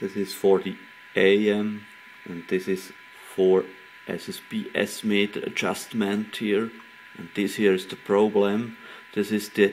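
At a very slow pace with long, frequent pauses, a man speaks at a fairly low pitch over light background noise. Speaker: radio hobbyist repairing a CB set. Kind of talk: tutorial. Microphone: phone near.

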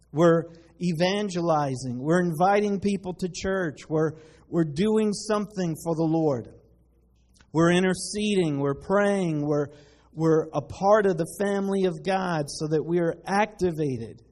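At a fairly slow pace, the pitch rises and falls in an ordinary way. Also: man, high pitch for a man. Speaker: pastor. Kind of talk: sermon. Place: church.

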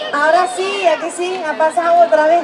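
A woman speaks fairly quickly at an extremely high pitch with little pitch movement, over clear background noise and clear crowd noise.

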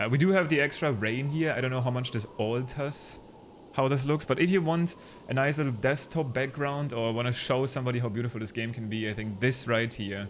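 A man with a non-native accent. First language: not English. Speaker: gaming YouTuber and streamer. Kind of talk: gameplay commentary. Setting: home recording at PC. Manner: casual, with frequent fillers.

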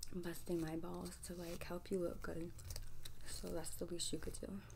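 A woman talks while noticeable background noise carries on behind her. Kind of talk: roleplay monologue to the viewer. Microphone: phone near.

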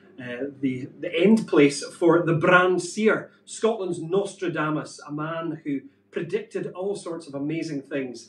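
There is light background noise and audible room echo. The pitch varies in an ordinary way. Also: man. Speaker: show co-host. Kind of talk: presenting a live show. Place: home room. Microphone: camera far.

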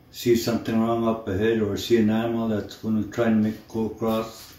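A man's dark, mellow tone in monotone, flat intonation, with audible room echo. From Manitoulin Island, Ontario, Canada. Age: old. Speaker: First Nations elder. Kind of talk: personal testimony to camera. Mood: calm, earnest, measured. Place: home room. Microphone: phone near.

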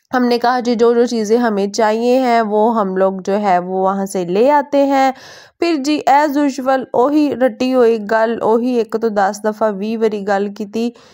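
Her tone dark and mellow, a woman talks at a fairly high pitch with ordinary pitch variation and hardly any pauses. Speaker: lifestyle vlogger. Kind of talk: vlog narration.

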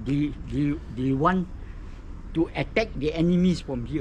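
A man with a Malaysian accent, fairly high in pitch, at a fairly slow pace. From Malaysia, Malacca. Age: 70s. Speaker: local tour guide. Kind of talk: casual chat. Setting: outdoors.

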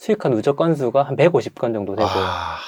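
With a medium pitch, a man speaks in a dark, mellow tone. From South Korea. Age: 30s. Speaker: online business trainer, former delivery rider. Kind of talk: interview testimony. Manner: halting with frequent fillers.

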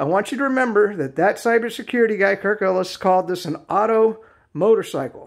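A man's high-pitched voice at a fairly quick pace, with ordinary pitch variation and a quiet background. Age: 50s. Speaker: video reviewer. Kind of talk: product review. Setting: home garage. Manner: casual, rambling with fillers. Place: garage. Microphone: phone near.

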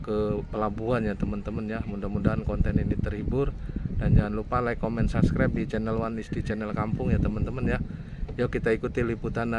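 A man talks at a very fast pace in a dry recording with no echo, over loud background noise. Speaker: vlogger. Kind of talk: casual vlog chat. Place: open country. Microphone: phone near.

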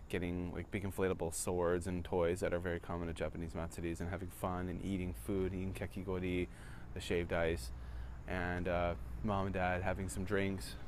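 Fairly quick speech with ordinary pitch variation, a dry sound with no echo, and light background noise. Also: man, very deep, low pitch for a man. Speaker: vlogger. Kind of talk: casual vlog chat. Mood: wistful, reflective. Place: street. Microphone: phone near.

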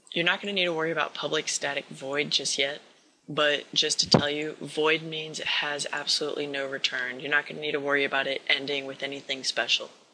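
Amid noticeable background noise, a man talks at a fairly high pitch in a monotone, flat delivery. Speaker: programming tutorial maker. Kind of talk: tutorial. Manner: casual.

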